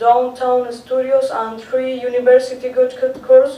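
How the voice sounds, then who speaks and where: A woman with a Spanish accent speaks at a fairly slow pace with a high pitch and fairly even intonation. The room echo is audible, and background noise is noticeable. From Chile. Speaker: art teacher presenting research. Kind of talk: conference presentation. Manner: halting, with many fillers.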